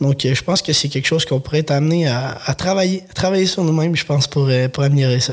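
A man speaks at a very fast pace with fairly high pitch. His pitch variation is ordinary, and the background noise is noticeable. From Quebec, Lanaudière. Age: 20s. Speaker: vegetable farmer. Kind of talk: interview. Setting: studio. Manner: halting.

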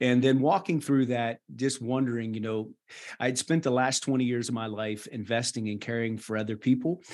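A man's unremarkable speaking voice with an American accent, medium pitch, ordinary pitch variation and a moderate pace. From West Virginia (rural). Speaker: missionary nurse practitioner and author. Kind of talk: interview conversation.

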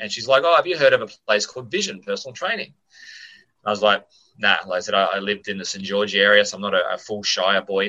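In an Australian accent, a man races through his words at a very fast pace. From Australia, Sydney. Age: 40s. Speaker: gym owner and personal trainer. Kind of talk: casual interview. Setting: remote call.

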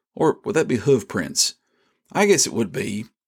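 A man with a rural Southern US accent and vocal fry speaks at a moderate pace and a fairly high pitch, swinging very widely in pitch, in a very clean recording with a silent background. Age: 50s. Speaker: devotional podcast host. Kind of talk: devotional podcast narration.

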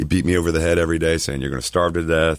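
Over noticeable background noise, a man with a very deep, low pitch talks at a very fast pace with fairly even intonation. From Miami, Florida. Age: 40s. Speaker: insurance agent. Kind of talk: radio interview. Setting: radio studio.

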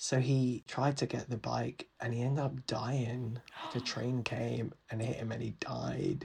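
A man with a London accent talks at a fairly slow pace in a medium-pitched, somewhat breathy voice. His intonation is monotone and flat. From London, England. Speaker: podcast guest, former startup employee. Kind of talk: casual chat.

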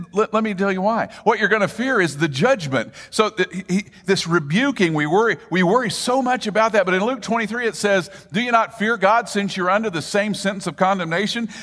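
A man with a high pitch, over noticeable background noise. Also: ordinary pitch variation, moderate pace. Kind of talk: sermon.

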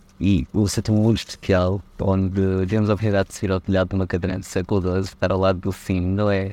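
In a dark, mellow tone and a very deep, low pitch, a man talks at a very fast pace with hardly any pauses and monotone, flat intonation. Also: quiet background. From Portugal. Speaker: journalist. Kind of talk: casual chat.

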